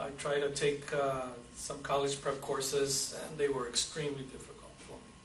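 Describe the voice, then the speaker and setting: The speaker delivers monotone, flat intonation at a moderate pace, with big swings in loudness, audible room echo and noticeable background noise. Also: man, fairly high pitch for a man. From Southern California (Brawley, Imperial Valley), Mexican-American family. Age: 50s. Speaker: war veteran. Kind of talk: oral history interview. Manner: halting, with frequent fillers and repeats.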